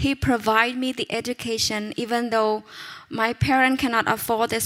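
The woman's voice sits at a high pitch. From Cambodia. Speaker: pastor's wife. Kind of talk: testimony.

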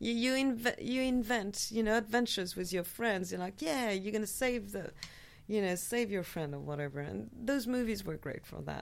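Speaking with a French accent, a woman uses lively intonation at a moderate pace and medium pitch. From France. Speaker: film enthusiast guest. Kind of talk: casual chat; trivia clue reading.

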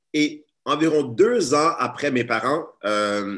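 A man with a bright, sharp tone over a quiet background. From Montreal area, Quebec. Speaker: teacher and activist. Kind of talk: webinar talk. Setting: video call.

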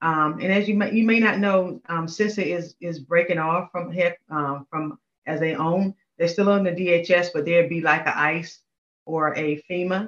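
An American accent with fairly even intonation. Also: woman, fairly low pitch for a woman, moderate pace. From North Carolina. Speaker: government procurement official. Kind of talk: interview. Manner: halting, many fillers.

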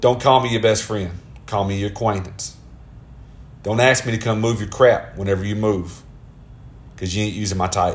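Audible room echo surrounds a man with a Southern US accent and a fairly low, somewhat breathy voice. He talks at a fairly quick pace with fairly even intonation and long, frequent pauses. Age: 30s. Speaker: podcaster. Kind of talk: casual monologue. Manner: conversational.

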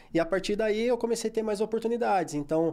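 A man with a dark, mellow tone and ordinary pitch variation is heard in a very clean recording with a silent background. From Brazil, São Paulo state (Guaratinguetá). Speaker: sports physiotherapist. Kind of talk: interview.

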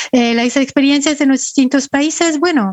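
A woman speaks with a high pitch and ordinary pitch variation. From France, partly Ecuador. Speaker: UN human rights official, lawyer. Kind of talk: interview.

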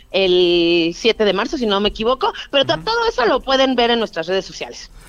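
Recorded dry and close with no echo, a woman with a fairly high pitch talks at a fairly quick pace in an ordinary speaking voice. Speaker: nonprofit director. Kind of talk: interview.

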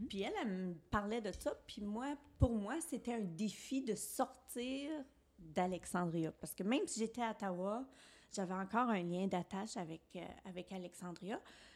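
A woman speaks with a medium pitch, keeping to a moderate pace. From Eastern Ontario, Franco-Ontarian. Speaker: podcast co-host, former teacher. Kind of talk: personal testimony in casual chat. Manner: expressive, laughs easily.

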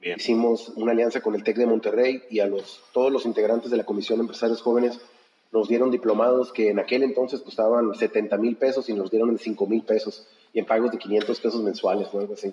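A man delivers his words at a fairly quick pace with a medium pitch and monotone, flat intonation. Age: 50s. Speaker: real estate broker. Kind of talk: interview.

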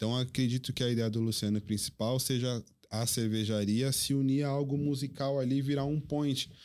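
A man talks in an ordinary speaking voice at medium pitch and a moderate pace, with fairly even intonation and hardly any pauses. His loudness stays very even, and the recording is very clean with a silent background. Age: 30s. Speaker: DJ. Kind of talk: casual chat.

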